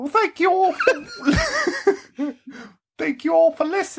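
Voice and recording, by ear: A put-on character voice, extremely high in pitch and croaky. It moves at a fairly slow pace.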